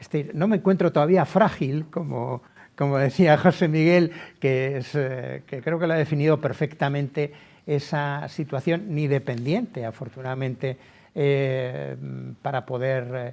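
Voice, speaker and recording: A man with a plain, everyday voice talks at a fairly slow pace, his pitch fairly high for a man, with ordinary pitch variation and big swings in loudness. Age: 60s. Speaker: lawyer. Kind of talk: webinar talk.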